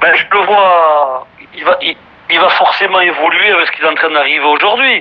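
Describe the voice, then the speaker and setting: There is noticeable background noise. Through it, a man talks at a high pitch. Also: ordinary pitch variation, moderate pace. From French Basque Country, Bayonne. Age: 50s. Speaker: singer and former rugby player. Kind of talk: casual interview.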